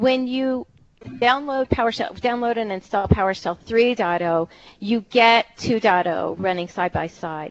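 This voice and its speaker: In a Philadelphia accent, a woman with a medium-pitched voice talks at a moderate pace with lively intonation. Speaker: technical writer and presenter. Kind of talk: technical presentation.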